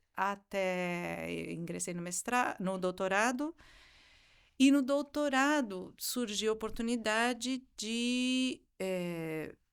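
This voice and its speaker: On a very clean recording with a silent background, a woman talks at a very slow pace in a fairly high pitch. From southern Brazil (raised from 11 months, Argentine parents). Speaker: music professor and singer. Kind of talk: interview. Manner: halting, with many fillers.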